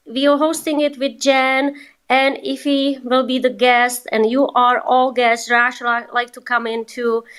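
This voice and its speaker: Speaking with a non-native accent, a woman uses a high pitch with ordinary pitch variation at a fairly slow pace. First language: not English. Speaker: TikTok coach. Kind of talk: live online group session.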